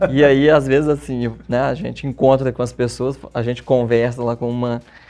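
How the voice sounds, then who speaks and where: A man speaks at a medium pitch in a flat, monotone delivery at a fairly slow pace, with music playing behind him. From Minas Gerais, Brazil (Bom Despacho). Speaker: therapist and journalist. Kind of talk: interview.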